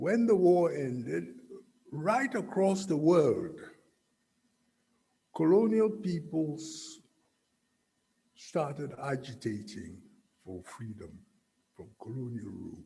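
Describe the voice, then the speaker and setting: At a very slow pace, a man with a fairly high pitch speaks with very wide pitch swings, big swings in loudness and long, frequent pauses, with audible room echo in the recording. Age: 70s. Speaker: guest speaker. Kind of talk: speech.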